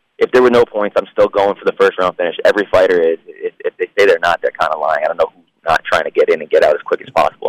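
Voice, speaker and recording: A man speaks at a very fast pace, the sound dry and close with no echo. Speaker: professional MMA fighter. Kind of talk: interview.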